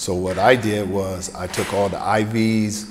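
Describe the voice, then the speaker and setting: Someone with an American accent speaks over light background noise. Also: man. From US South, Greenville, South Carolina; South Carolina. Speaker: former football player and author; speaker. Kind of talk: keynote speech. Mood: personal, reflective storytelling. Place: hall. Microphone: podium.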